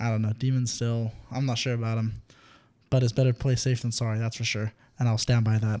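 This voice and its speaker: Speaking very fast in a flat monotone, a man has a medium-pitched, dark, mellow voice on a very clean recording with a silent background. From England, then later elsewhere. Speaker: podcast co-host. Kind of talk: casual chat.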